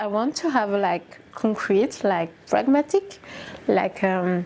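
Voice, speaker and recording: At a fairly slow pace, a woman speaks with a French accent. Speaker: YouTuber. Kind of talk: casual book review vlog. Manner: halting, with fillers.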